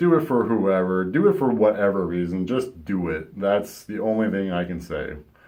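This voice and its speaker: A man talks at a moderate pace in a fairly low voice. There is audible room echo. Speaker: vlogger. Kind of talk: personal vlog monologue.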